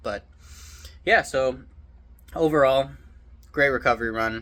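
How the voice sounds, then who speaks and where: A man's bright, sharp voice with lively intonation and vocal fry. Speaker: running vlogger. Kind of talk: casual vlog. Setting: outdoors, running. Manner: relaxed, halting.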